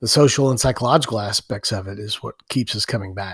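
Somewhat breathy speech at a fairly quick pace, with ordinary pitch variation, in a very clean recording with a silent background. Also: man. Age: 50s. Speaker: podcast host and jiu-jitsu practitioner. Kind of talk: solo podcast monologue.

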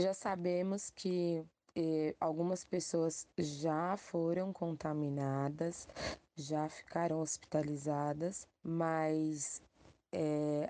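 Very slowly, a woman speaks in a fairly low pitch with a dark, mellow tone and monotone, flat intonation. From São Paulo, west zone favela. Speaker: community organizer. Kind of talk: recorded voice message.

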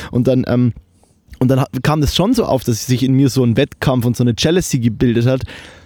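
With a Bavarian accent, a man sounds animated and enthusiastic at a fairly quick pace. His medium pitch shows ordinary variation, and his loudness stays very even. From Lower Bavaria, Germany (Kelheim). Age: 20s. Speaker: videographer and media student. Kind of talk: casual chat. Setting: remote recording over the internet. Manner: animated, enthusiastic; halting, many fillers.

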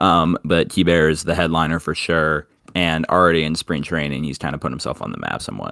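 In a dry, close sound with no echo, a man with a very deep, low pitch and a bright, sharp tone talks at a fairly quick pace, using vocal fry and monotone, flat intonation. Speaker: baseball podcast co-host. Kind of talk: casual chat.

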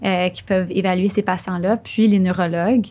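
A woman's normal speaking voice at a medium pitch, with fairly even intonation and a fairly slow pace, in a very clean recording with a silent background. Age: young. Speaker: neurologist. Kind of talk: interview.

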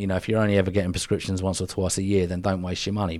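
A man speaks in a southern English accent. His voice is very deep and low, with fairly even intonation. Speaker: podcast co-host. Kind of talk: casual banter chat. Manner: jokey, bantering.

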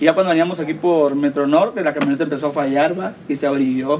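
A man's fairly high voice at a very fast pace, with ordinary pitch variation and noticeable background noise. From Guatemala, Villa Nueva. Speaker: podcast co-host. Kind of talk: casual chat. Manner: animated.

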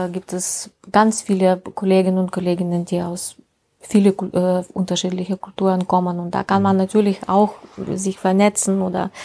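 A woman with a Russian accent speaks in a monotone, flat intonation. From Russia, Ural region. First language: Russian (speaking German). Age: 50s. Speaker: health mediator and project coordinator. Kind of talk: interview. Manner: halting.

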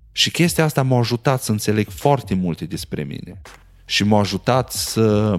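A man with a fairly low pitch at a moderate pace, his intonation lively. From Romania, Maramureș (Sighetu Marmației). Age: 30s. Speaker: podcast host. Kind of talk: casual monologue.

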